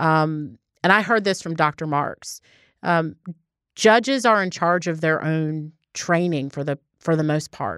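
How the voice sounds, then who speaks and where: A woman with an American accent speaks at a fairly slow pace in a very deep, low voice, on a very clean recording with a silent background and a dry, close sound with no echo. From Baltimore, Maryland. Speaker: district attorney. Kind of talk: interview.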